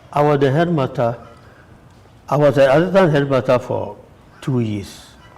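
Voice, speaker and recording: A man is talking. Noticeable background noise runs underneath. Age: 60s. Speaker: religious brother and retired teacher. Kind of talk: interview. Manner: halting.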